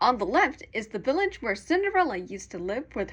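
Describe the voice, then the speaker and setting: Very wide pitch swings run through a woman's high voice at a moderate pace. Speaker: fan doing a tour guide narration. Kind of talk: theme park boat tour guide narration.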